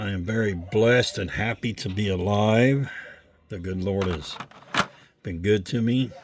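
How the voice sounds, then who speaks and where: Speaking at a fairly slow pace, a man leaves long, frequent pauses. His fairly low voice has a relaxed tone and ordinary pitch variation. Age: 60s. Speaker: diecast car collector YouTuber. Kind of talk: casual vlog. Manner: casual, relaxed.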